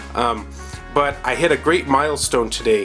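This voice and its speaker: A fairly slow pace over music in the background. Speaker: video game collector. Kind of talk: casual talk to camera.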